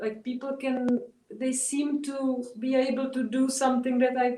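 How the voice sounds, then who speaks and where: A woman speaks in a high voice. She has a non-native accent. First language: not English. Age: 30s. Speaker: artist. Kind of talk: interview. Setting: video call. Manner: halting.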